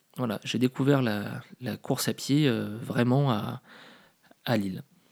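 At a fairly slow pace, a man of medium pitch talks with ordinary pitch variation. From Paris, France. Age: 30s. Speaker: podcaster. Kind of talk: casual monologue. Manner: hesitant, many fillers.

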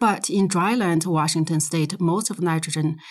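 With a Chinese accent, a woman speaks in a fairly low, somewhat breathy voice with fairly even intonation. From Inner Mongolia, China. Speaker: soil science professor. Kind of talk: interview. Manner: hesitant, frequent fillers.

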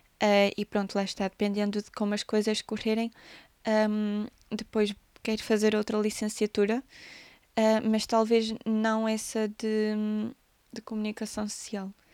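A woman speaks with a European Portuguese accent at a fairly slow pace, fairly high in pitch, in a flat monotone with big swings in loudness. The very clean recording has a silent background and a dry, close sound with no echo. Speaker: podcaster and musician. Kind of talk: casual monologue.

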